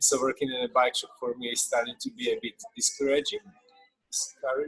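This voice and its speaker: In a dry, close sound with no echo, a man speaks at a fairly quick pace. He has a slight Slovak accent. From Slovakia. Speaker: bike shop worker. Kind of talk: casual group chat. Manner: halting, with many hesitations.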